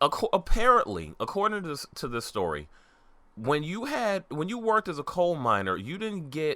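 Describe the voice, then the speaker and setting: A man talks at a moderate pace. He has a slight Southern US accent. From New York. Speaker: podcast co-host. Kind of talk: casual chat.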